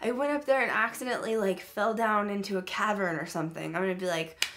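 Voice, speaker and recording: A woman speaks with lively intonation. Her pace is moderate. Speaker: channel host. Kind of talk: casual vlog chat. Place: home room. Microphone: webcam.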